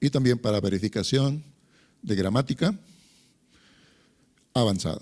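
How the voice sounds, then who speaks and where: Lively intonation runs through a man's talk, given in an ordinary speaking voice at a medium pitch and a moderate pace. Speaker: lecturer. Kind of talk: lecture.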